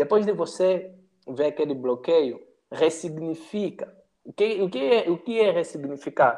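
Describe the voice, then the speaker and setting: Speaking at a fairly slow pace, a man has a high pitch and a dark, mellow tone. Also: ordinary pitch variation. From Angola. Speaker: youtuber and digital strategist. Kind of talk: casual chat.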